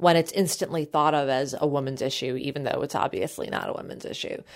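The recording of this woman is very clean, and the background is silent. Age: 40s. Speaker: podcast host. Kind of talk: interview.

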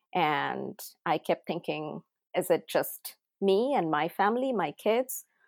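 A woman with a Bengali accent speaks very slowly at a fairly low pitch, with lively intonation and vocal fry. The recording is very clean with a silent background, and the sound is dry and close with no echo. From India, Odisha. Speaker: tech entrepreneur and parent. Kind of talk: casual interview.

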